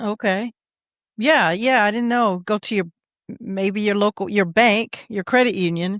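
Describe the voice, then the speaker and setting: A woman with an unremarkable speaking voice, ordinary pitch variation, and a moderate pace. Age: 60s. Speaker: podcast host. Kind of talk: casual interview.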